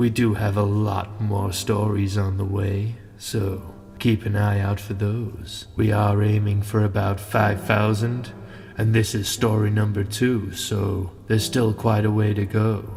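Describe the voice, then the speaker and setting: With monotone, flat intonation and fairly low pitch, a man speaks at a fairly slow pace over clear background noise. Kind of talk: bedtime story. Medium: read story. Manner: calm, measured.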